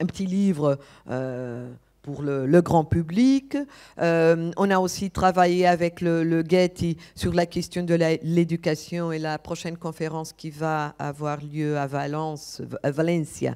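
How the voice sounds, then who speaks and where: In a non-native accent, a woman speaks very slowly with a fairly low, dark and mellow voice and ordinary pitch variation, on a very clean recording with a silent background. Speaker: architect and conference speaker. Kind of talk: conference talk. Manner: halting, many hesitations.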